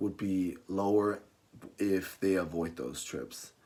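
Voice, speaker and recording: A man at a fairly low pitch with a non-native accent and ordinary pitch variation. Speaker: college student. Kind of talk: class persuasive speech.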